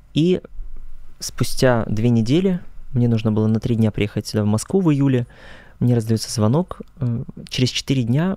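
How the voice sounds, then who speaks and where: A man's dark, mellow voice at a moderate pace, very even in loudness, with long, frequent pauses, a dry sound with no echo and a quiet background. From Russia, Krasnodar region (rural Kuban); Krasnodar region, Russia. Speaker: choral conductor and student; interview guest. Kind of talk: interview. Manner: formal. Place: studio. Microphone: studio mic.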